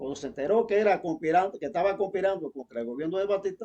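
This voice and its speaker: This man talks at a very fast pace with lively intonation, his high-pitched voice carrying a dark, mellow tone in a dry, close sound with no echo. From eastern Cuba (Santiago de Cuba area). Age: 80s+. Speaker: former political prisoner. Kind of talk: testimony. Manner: halting.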